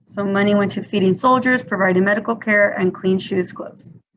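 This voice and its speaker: A woman talks at a moderate pace and medium pitch. Her voice is somewhat breathy. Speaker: teacher. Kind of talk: lecture.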